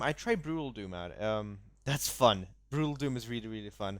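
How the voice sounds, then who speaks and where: Over a very clean, silent background, a man in a plain, everyday voice speaks at a moderate pace with a medium pitch and lively intonation. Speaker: gaming podcast co-host. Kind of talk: casual chat.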